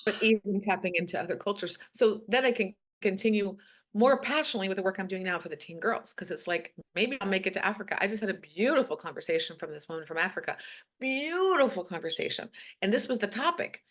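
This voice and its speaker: Over a quiet background, a woman speaks at a very fast pace with an animated tone and lively intonation. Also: medium pitch for a woman, big swings in loudness. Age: 50s. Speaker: coach for teen girls. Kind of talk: casual interview chat.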